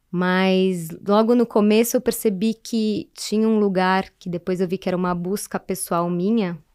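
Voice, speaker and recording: A woman speaks in an ordinary speaking voice at a medium pitch, fairly slow in pace with hardly any pauses and fairly even intonation, recorded very cleanly against a silent background with a dry, close sound and no echo. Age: 40s. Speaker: therapist and human development facilitator. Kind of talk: podcast interview.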